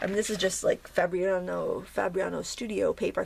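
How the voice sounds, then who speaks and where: In a raspy, put-on character voice, a woman speaks at a fairly quick pace over light background noise. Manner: slurring speech.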